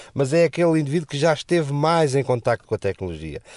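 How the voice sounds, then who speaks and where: Dry and close with no echo, this man's voice has a dark, mellow tone, a medium pitch and a moderate pace. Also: quiet background. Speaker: radio and podcast commentator. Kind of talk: casual chat.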